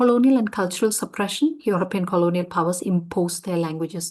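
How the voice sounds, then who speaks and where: A woman with a Keralan accent speaks at a fairly quick pace and a medium pitch, with ordinary pitch variation against a quiet background. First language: Malayalam. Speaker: lecturer. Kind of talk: lecture. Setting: conference session.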